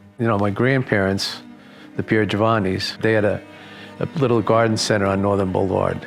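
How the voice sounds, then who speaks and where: With music in the background, a man with a New York accent talks at a fairly quick pace in a fairly low pitch, his loudness very even and his intonation fairly even. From New York, Long Island. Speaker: community elder. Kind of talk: interview. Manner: halting.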